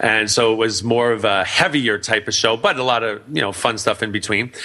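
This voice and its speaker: With a bright, sharp tone, a man speaks fairly quickly in a fairly low, monotone, flat voice. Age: 40s. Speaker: radio talk show host and business speaker. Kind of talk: casual interview. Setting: internet radio studio. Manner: loud.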